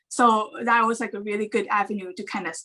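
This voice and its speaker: A woman speaks with a Thai accent. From Thailand. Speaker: animation story artist. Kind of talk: casual chat. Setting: video call.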